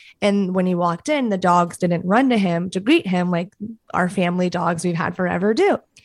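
At a fairly quick pace, a woman with a medium pitch speaks with ordinary pitch variation. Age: 30s. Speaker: podcast host. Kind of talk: casual chat.

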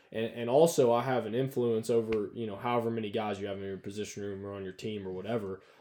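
With a Southern US accent and medium pitch, a man speaks at a very fast pace with fairly even intonation and hardly any pauses. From North Alabama. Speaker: college football coach. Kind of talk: casual chat.

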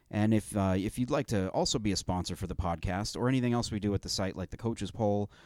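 A man's unremarkable speaking voice, fairly low with ordinary pitch variation, in a very clean, dry, close recording with no echo and a silent background. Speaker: sports podcast host. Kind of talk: casual chat.

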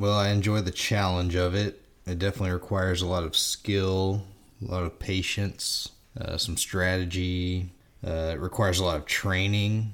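A man with a very deep, low pitch talks in a monotone, flat intonation on a very clean recording with a silent background. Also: moderate pace. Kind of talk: casual chat.

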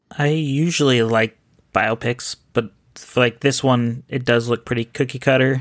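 In an unremarkable speaking voice, a man of medium pitch speaks at a fairly slow pace with fairly even intonation and very even loudness, the sound dry and close with no echo. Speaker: podcast listener and patron. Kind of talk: casual chat.

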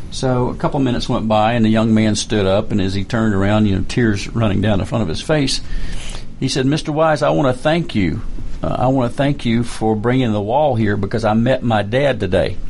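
Against noticeable background noise, a man talks at a fairly quick pace. His pitch varies in an ordinary way. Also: medium pitch for a man, very even loudness. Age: 70s. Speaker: retired army colonel and veterans advocate. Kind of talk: radio interview. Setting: studio.

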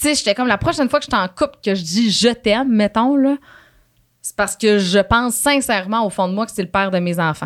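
A woman with a plain, everyday voice, fairly high in pitch, at a fairly quick pace with ordinary pitch variation, on a very clean recording with a silent background. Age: 20s. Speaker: radio host. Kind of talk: casual chat. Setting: studio.

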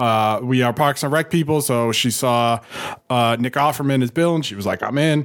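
A man's plain, everyday voice with an American accent and ordinary pitch variation. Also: very clean recording, silent background. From Boston, US. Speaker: video game podcast co-host. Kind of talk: casual chat. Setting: live show.

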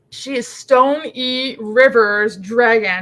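A woman's put-on character voice, fairly high in pitch, at a fairly slow pace with ordinary pitch variation.

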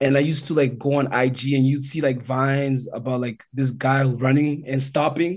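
Somewhat breathy and monotone, with flat intonation, the voice runs on with hardly any pauses. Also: man, fairly high pitch for a man, moderate pace. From Calgary, Alberta, Canada. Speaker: former football player. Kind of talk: casual chat.

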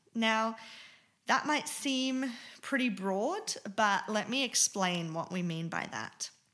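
A woman's bright, sharp tone, fairly high in pitch, with lively intonation at a very slow pace, in a very clean recording with a silent background. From Germany. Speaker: podcast host and dance teacher. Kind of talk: casual podcast intro.

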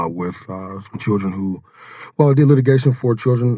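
His dark, mellow tone is somewhat breathy as the man moves at a fairly quick pace with ordinary pitch variation. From Jackson, Mississippi. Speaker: podcast guest. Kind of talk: professional, lawyer.

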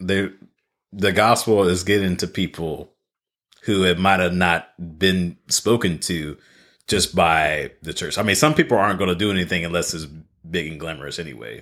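With a very deep, low pitch, a man speaks in an animated tone at a moderate pace on a very clean recording with a silent background. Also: ordinary pitch variation. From El Centro, California, US. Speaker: podcaster guest. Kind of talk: casual interview chat. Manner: animated, joking.

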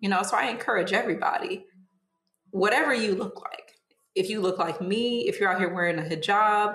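There is audible room echo as a woman with a fairly high pitch speaks in lively intonation. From US Midwest, Southfield, Michigan near Detroit. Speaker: community activist. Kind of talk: interview conversation.

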